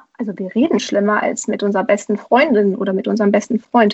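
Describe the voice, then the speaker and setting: The speaker is a woman. She keeps a fairly even intonation. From Romania. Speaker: primary school teacher and author. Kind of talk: interview. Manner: hesitant, many fillers.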